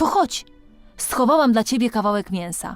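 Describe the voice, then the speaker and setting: Faint music plays behind a woman doing a put-on character voice. Her pitch is fairly high and her pace moderate. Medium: read story. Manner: tender, patient.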